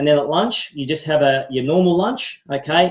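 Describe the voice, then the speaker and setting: The man speaks at a fairly high pitch with ordinary pitch variation. His voice is somewhat breathy. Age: 40s. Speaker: wellness product presenter. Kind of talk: sales pitch. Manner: fast; animated.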